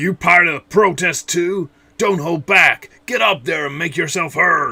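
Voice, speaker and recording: A high-pitched, put-on character voice from a man, delivered at a moderate speed. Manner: angry.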